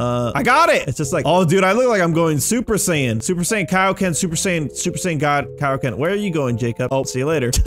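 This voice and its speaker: Hardly pausing, a man speaks at a fairly quick pace with a fairly high pitch and lively intonation over noticeable background noise. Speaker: gaming YouTuber. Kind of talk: gameplay commentary. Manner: loud; animated.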